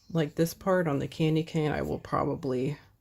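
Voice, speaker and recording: A woman with an American accent talks at a fairly slow pace in a very deep, low voice with vocal fry. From Texas. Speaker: coloring livestreamer. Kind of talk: casual chat.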